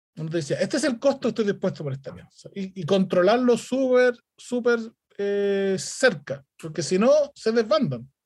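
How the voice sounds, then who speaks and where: Pitched high, a man speaks at a moderate pace. His voice makes very wide pitch swings and big swings in loudness. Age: 40s. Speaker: startup founder. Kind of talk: interview.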